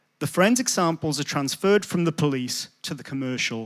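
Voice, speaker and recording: With lively intonation, a man speaks on a very clean recording with a silent background. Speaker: sociology lecturer. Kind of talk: public talk. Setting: coffee shop event with audience.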